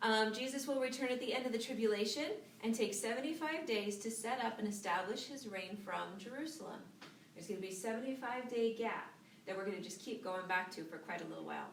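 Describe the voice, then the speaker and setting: With audible room echo and noticeable background noise, a woman speaks at a very fast pace in a fairly high pitch with ordinary pitch variation. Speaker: Bible teacher. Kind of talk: Bible study lesson.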